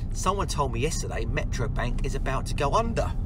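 A man talks at a fairly quick pace over loud background noise. The sound itself is dry, with no echo. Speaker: business owner vlogger. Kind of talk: casual vlog chat. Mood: upbeat, enthusiastic. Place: car. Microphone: phone near.

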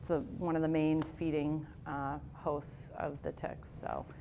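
A woman's very deep, low voice over light background noise. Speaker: presenter. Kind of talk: lecture. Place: meeting room. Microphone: headset.

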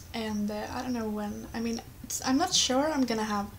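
Noticeable background noise runs under the clip. A woman with a Swedish accent speaks with a fairly high pitch. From Sweden. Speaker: gamer, let's play commentator. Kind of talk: casual gameplay commentary. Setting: webcam microphone, poor quality.

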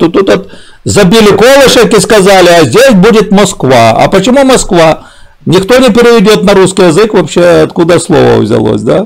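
The speech moves at a moderate pace. The background is quiet. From southern Ukraine. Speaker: streamer. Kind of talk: casual chat. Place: home room.

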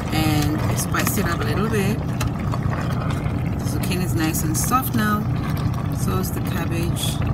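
Loud background noise behind a woman talking at a moderate pace. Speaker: truck driver vlogger. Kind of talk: casual vlog chat. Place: car. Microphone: phone near.

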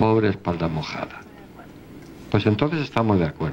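Very wide pitch swings from a man over light background noise. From Spain. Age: 70s. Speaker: philosopher and lecturer; lecturer. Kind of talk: lecture. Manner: animated. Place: hall. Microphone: handheld.

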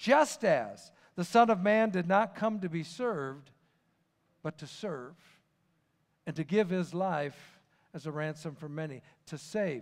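Against a quiet background, a man speaks with long, frequent pauses. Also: fairly slow pace. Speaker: preacher. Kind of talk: sermon. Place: church.

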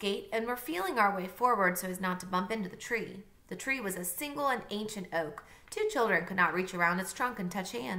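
Reading in a natural voice

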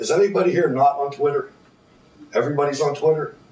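There is audible room echo and light background noise. A man speaks at a moderate pace. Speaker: presenter. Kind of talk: conference talk. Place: classroom. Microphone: camera far.

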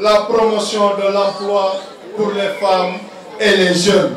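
Light background noise and audible room echo surround a man who talks at a very slow pace. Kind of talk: political speech.

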